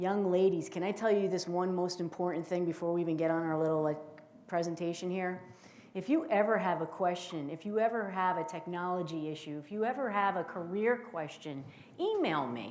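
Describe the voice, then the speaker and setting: A woman with a New Jersey accent at a fairly quick pace, ordinary pitch variation and audible room echo. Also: fairly low pitch for a woman. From northern New Jersey. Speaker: intelligence officer and keynote speaker. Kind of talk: keynote speech. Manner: animated.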